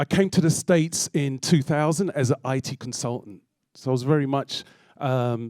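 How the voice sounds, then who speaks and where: The sound is dry and close, with no echo. A man with a London accent speaks with ordinary pitch variation. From London, England. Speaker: DJ and music producer. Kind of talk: public talk. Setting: stage with audience.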